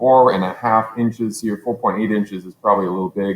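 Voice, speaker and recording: A man's normal speaking voice with ordinary pitch variation at a fairly quick pace, in a very clean recording with a silent background. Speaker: teacher. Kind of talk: tutorial. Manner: casual, thinking aloud with fillers.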